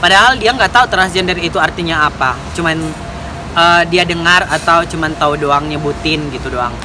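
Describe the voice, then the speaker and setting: Talking at a fairly quick pace, a woman with a Medan accent has a fairly low pitch and ordinary pitch variation, with noticeable background noise behind her. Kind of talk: casual explanatory talk to camera. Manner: a bit fierce, joking.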